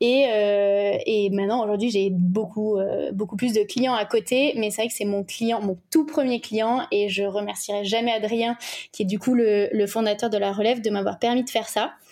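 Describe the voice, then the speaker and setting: With a dark, mellow tone, a woman speaks at a fairly high pitch and a moderate pace, her intonation fairly even. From French Alps (ski resort village). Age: 20s. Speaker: communication agency owner. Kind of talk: casual interview.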